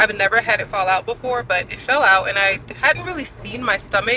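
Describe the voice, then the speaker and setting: A woman's medium-pitched voice at a very fast pace, with noticeable background noise. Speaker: fitness coach and vlogger. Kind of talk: casual vlog. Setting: in a car.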